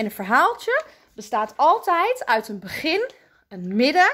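A woman's bright, sharp voice swings very widely in pitch as she speaks fairly slowly against a quiet background. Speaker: primary school teacher. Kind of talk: tutorial for children. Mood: warm, friendly, encouraging. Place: classroom. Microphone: phone near.

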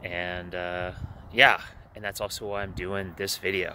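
Over light background noise, a man speaks in a bright, sharp tone with a dry sound and no echo. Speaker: life coach vlogger. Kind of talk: casual vlog chat. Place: waterside. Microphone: earbuds.

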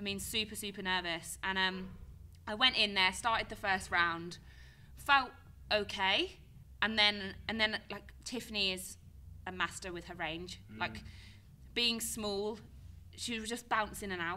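A woman's bright, sharp voice with vocal fry, at a fairly slow pace with long, frequent pauses, fairly even intonation and big swings in loudness. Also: medium pitch for a woman. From Cornwall, England. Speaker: professional Muay Thai fighter. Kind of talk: podcast interview answer. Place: studio. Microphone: studio mic.

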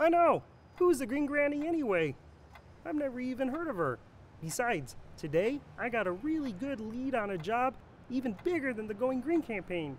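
A cartoonish character voice at a fairly high pitch and moderate pace, with clear background noise. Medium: puppet show. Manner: shocked, pleading.

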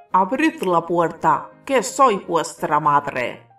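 In a hoarse, put-on character voice at a middle pitch, the speaker goes at a very slow pace, with faint music in the background. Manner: deceptive, feigning motherly tone.

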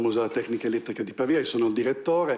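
This man speaks at a medium pitch with fairly even intonation. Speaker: museum director. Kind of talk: event introduction. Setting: stage with audience. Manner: hesitant. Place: hall. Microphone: camera far.

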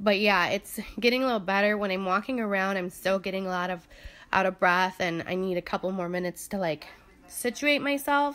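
At a moderate pace, a woman is talking. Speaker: vlogger. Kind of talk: casual vlog chat. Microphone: phone near.

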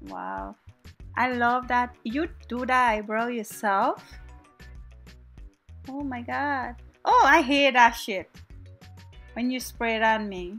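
With a Guyanese accent, the speaker uses a playful tone, ordinary pitch variation and big swings in loudness at a very slow pace, leaving long, frequent pauses over music in the background. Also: woman, high pitch for a woman. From Guyana. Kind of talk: comedic voiceover commentary on a makeup tutorial. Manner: casual, playful.

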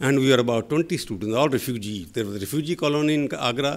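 A man with an Indian accent speaks at a very fast pace. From northern India. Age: 60s. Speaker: journalist. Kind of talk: lecture. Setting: stage with audience. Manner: loud; sharp. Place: hall. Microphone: podium.

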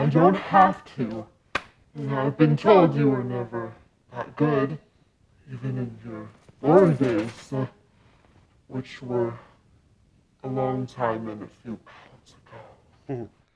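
A put-on character voice at a low-to-middle pitch carries a menacing tone. It moves at a fairly slow pace with long, frequent pauses. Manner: mocking, then menacing and grandiose.

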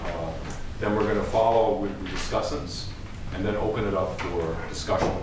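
With audible room echo and noticeable background noise, a man speaks at a fairly low pitch with ordinary pitch variation. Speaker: professor and session chair. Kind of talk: chairing a panel. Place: meeting room.

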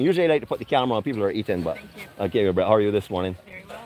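Animated and very fast, a man's voice makes very wide pitch swings in a dry sound with no echo, over light background noise. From Barbados. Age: 50s. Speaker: travel vlogger. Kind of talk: live walkabout vlog with interviews. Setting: outdoors at a farmers market. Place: market. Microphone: phone near.

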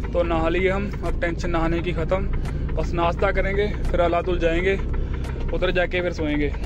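A man talks at a very slow pace. The sound is dry with no echo, though background noise is noticeable. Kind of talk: casual vlog chat. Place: car. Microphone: phone near.

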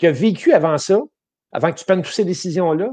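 A man speaks over a quiet background. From Quebec. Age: 50s. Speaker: motivational coach and ultrarunner; interview guest. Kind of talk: interview. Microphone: earbuds.

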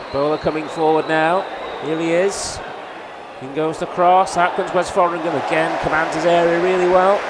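A man speaks at a high pitch in an animated tone. Noticeable background noise sits behind him. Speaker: football match commentator. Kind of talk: live football commentary. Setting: club channel highlights, commentary over match footage. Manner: animated, fast-paced, rising with each goal.

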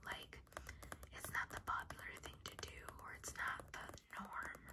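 A soft-spoken whisper over loud background noise. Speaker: ASMR creator. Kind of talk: casual ASMR chat reading a quiz. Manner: soft ASMR whisper.

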